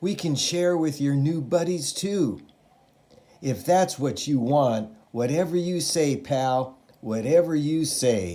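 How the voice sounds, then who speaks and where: A man's put-on character voice, raspy and fairly high-pitched, with lively intonation at a fairly slow pace. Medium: read story. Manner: wheedling.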